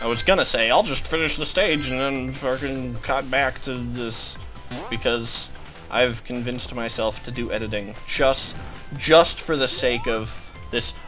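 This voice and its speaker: Music plays in the background. The speech is fairly slow with ordinary pitch variation. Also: man, medium pitch for a man. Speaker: gameplay commentator. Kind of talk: casual gaming commentary.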